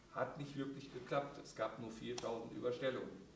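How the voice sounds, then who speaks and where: Speech comes at a moderate pace, with audible room echo and light background noise. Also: man. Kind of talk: panel discussion talk. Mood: critical, indignant. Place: stage.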